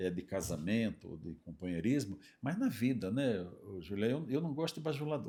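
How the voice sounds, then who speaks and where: A man's voice swings very widely in pitch, on a very clean recording with a silent background. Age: 70s. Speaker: retired judge and lawyer. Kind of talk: interview conversation.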